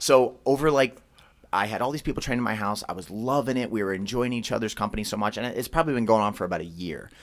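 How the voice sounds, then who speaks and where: Speaking very quickly, a man uses a medium pitch that varies in an ordinary way. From Philadelphia, US. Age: 30s. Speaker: martial arts gym owner. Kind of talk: podcast interview.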